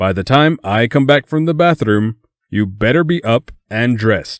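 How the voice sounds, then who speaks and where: On a very clean recording with a silent background, a man performs a put-on character voice with lively intonation, the sound dry and close with no echo. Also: medium pitch for a man, moderate pace. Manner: scolding.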